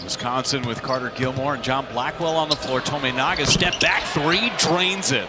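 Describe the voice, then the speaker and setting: Over loud background noise, a man speaks at a fairly high pitch with ordinary pitch variation, the sound dry with no echo. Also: hardly any pauses. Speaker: play-by-play announcer. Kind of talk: live sports commentary. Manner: fast-paced, excited play-by-play delivery.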